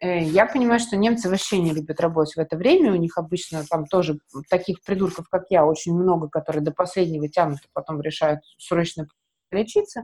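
A woman with a dark, mellow tone speaks at a moderate pace and medium pitch with ordinary pitch variation. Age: 30s. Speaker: medical marketer and event organizer. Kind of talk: casual chat.

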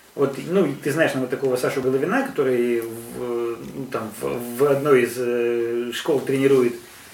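With audible room echo and noticeable background noise, a man talks at a moderate pace in a medium pitch with fairly even intonation. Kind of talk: live Q&A. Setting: live event with audience. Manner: loud.

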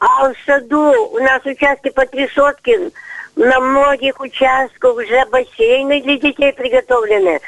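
Dry and close with no echo, the recording has a woman speaking fairly slowly at a high pitch, with ordinary pitch variation and very even loudness. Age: 80s+. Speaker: volunteer nature inspector. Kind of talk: radio call-in complaint. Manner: agitated.

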